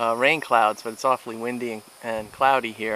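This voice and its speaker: A man talks at a moderate pace in a medium pitch. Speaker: hiking and camping vlogger. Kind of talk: outdoor vlog narration. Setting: outdoors at campsite. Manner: loud; hesitant, many fillers. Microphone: poor microphone, hard to hear.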